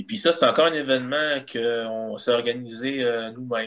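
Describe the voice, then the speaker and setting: In a Quebec accent, a man speaks at a moderate pace with medium pitch and ordinary pitch variation. The recording is very clean with a silent background. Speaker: guitarist and illustrator. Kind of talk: casual chat.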